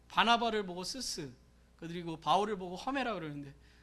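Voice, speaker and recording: The tone is bright and sharp, with lively intonation at a fairly quick pace. Room echo is audible. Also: man. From South Korea, Gyeonggi Province. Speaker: pastor. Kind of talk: sermon.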